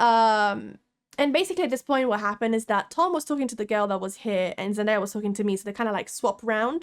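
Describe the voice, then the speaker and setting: In a very clean recording with a silent background, a woman speaks with an Italian accent at a fairly high pitch. Her tone is animated, her intonation lively and her pace very fast. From Italy. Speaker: vlogger. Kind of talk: casual storytelling vlog. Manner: animated, many fillers.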